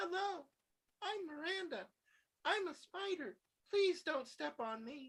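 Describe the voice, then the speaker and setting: A squeaky, put-on character voice, female-sounding and extremely high in pitch, at a fairly slow pace with long, frequent pauses. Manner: pleading.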